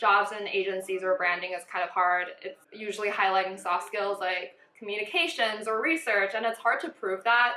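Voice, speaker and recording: With an American accent, a woman talks at medium pitch and a moderate pace in a bright, sharp tone. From Taiwan and US, back and forth. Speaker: brand strategist and vlogger. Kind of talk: Q&A casual chat, bilingual. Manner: casual, some hesitation.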